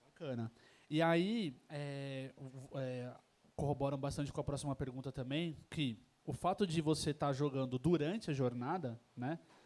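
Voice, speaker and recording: On a very clean recording with a silent background, a man in a São Paulo accent speaks at a fairly slow pace with a fairly high pitch and ordinary pitch variation. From São Paulo, Brazil. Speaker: event host, interviewer. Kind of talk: live panel interview. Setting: tavern event with audience. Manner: hesitant, many fillers.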